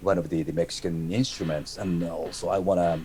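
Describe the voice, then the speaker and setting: A man speaks with a Japanese accent. His pitch is very deep and low. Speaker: metal musician. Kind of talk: interview. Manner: halting, repeats words.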